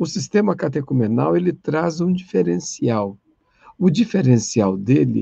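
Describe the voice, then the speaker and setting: This man's somewhat breathy voice has a dark, mellow tone and very wide pitch swings. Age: 60s. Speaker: catechesis lecturer. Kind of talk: online lecture.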